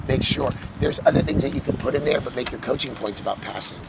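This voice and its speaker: Noticeable background noise sits behind speech at a very fast pace. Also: man. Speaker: soccer coaching clinic instructor. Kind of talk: coaching clinic talk to coaches.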